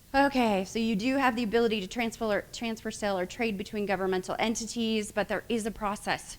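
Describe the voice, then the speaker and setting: Fairly even in intonation, this woman moves along at a fairly quick pace. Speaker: attorney. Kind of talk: lecture. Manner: fast; halting.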